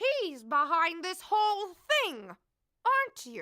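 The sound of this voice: Putting on a character voice, a woman speaks slowly at an extremely high pitch, her bright, sharp tone swinging widely in pitch.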